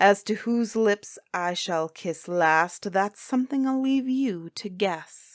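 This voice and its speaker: Putting on a shrill character voice at medium pitch, a woman talks at a fairly slow pace with hardly any pauses, in a very clean recording with a silent background. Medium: read story.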